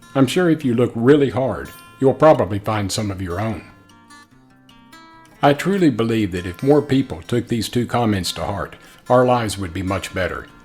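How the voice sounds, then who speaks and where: Over music in the background, a man at a medium pitch talks at a moderate pace with lively intonation and long, frequent pauses. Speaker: person living with spinal muscular atrophy. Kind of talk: vlog talk to camera.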